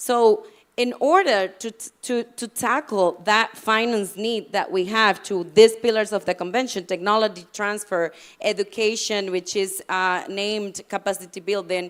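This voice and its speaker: A woman's medium-pitched voice with a non-native accent, fairly slow with ordinary pitch variation, in a very clean recording with a silent background. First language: not English. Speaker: panel speaker on climate policy. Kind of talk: panel talk. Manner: halting, with many fillers and restarts.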